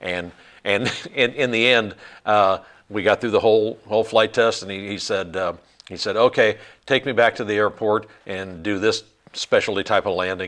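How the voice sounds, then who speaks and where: A man with a fairly low pitch and fairly even intonation, moderate pace, long and frequent pauses, quiet background. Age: 60s. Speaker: flight instructor. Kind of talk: casual chat. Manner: halting.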